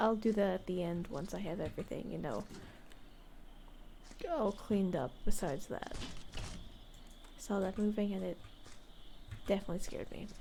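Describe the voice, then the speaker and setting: Amid noticeable background noise, a woman speaks in a relaxed tone at a moderate pace and medium pitch, with ordinary pitch variation and long, frequent pauses. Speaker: ASMR VTuber / gameplay streamer. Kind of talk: soft-spoken ASMR gameplay commentary. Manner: soft-spoken, relaxed.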